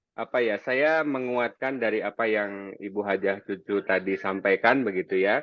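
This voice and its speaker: Speaking with a slight Sundanese accent, the man keeps a fairly low pitch and takes hardly any pauses. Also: ordinary pitch variation, moderate pace. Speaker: anti-corruption educator. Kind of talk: webinar presentation. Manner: halting, many fillers.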